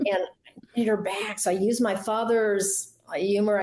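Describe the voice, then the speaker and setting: A breathy woman with an American accent, at a moderate pace, with monotone, flat intonation and very even loudness. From Southern United States. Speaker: interview guest, voice coach. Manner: not powerful, soft.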